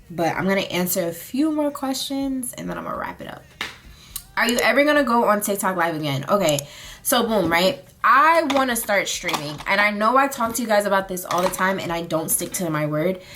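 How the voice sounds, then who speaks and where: Over noticeable background noise, a woman talks at a fairly quick pace and a medium pitch, with very wide pitch swings. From US South, Charlotte, North Carolina. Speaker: beauty and lifestyle vlogger. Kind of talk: casual chat, get ready with me. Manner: casual, filler-heavy.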